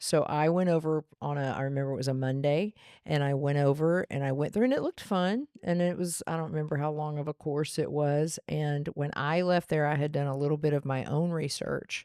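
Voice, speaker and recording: A woman with an American accent and a very deep, low pitch, her tone dark and mellow, intonation fairly even, at a fairly quick pace with hardly any pauses, in a dry, close sound with no echo. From Texas, Dallas area (Garland). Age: 60s. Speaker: salon owner and hairdresser. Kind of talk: casual interview chat.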